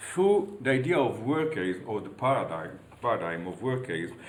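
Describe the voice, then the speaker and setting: A man with an Italian accent speaks at a moderate pace in a medium pitch, with noticeable background noise and audible room echo. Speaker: university professor. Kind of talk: lecture. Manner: halting.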